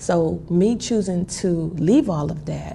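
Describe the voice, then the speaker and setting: This woman's voice is very deep and low in pitch, somewhat breathy, with a dark, mellow tone. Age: 40s. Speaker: vlogger. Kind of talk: casual talk to camera. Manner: conversational, humorous.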